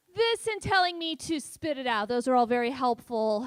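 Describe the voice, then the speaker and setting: The speaker talks at a moderate pace with a Californian accent, and the sound is dry and close with no echo. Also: woman. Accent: Californian American. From San Francisco Bay Area, US. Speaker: stand-up comedian. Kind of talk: stand-up. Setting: stage with audience.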